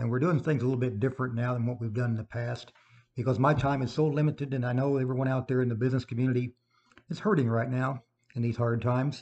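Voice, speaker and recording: A man speaks very fast in an American accent, somewhat breathy. His pitch is medium and his intonation fairly even. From Illinois. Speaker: local radio host and writer. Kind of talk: casual radio show.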